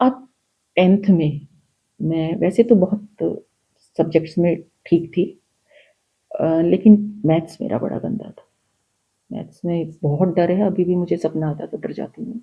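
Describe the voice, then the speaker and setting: A somewhat breathy woman's voice with a fairly low pitch. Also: ordinary pitch variation. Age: 60s. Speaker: spiritual guest sharing her experiences. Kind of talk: personal testimony in a podcast interview. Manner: animated storytelling.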